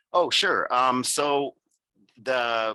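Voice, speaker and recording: Bright and sharp in tone, a man's voice moves with ordinary pitch variation, the sound dry and close with no echo. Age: 60s. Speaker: writer and software engineer. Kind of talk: interview. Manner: halting, many fillers.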